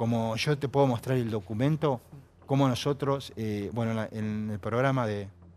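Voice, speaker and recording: Moderate speed and fairly even intonation from a man of medium pitch. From Argentina. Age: 60s. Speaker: war veteran. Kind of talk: TV panel interview. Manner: halting.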